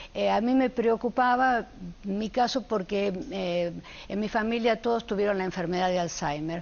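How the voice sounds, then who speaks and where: With lively intonation, a woman in an unremarkable speaking voice talks at a moderate pace and a fairly high pitch. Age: 60s. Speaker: panel guest, long-time cannabis user. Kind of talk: televised panel debate.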